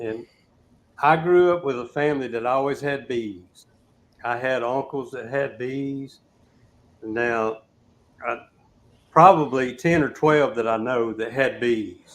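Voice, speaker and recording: The man's speech is fairly slow, and his pitch varies in an ordinary way. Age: 60s. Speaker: beekeeper. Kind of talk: casual chat.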